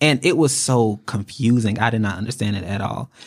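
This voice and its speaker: A plain, everyday voice from a man with an American accent, fairly low in pitch with ordinary pitch variation, at a fairly slow pace on a very clean recording with a silent background. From North Carolina. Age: 20s. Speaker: funeral service apprentice. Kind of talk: casual chat.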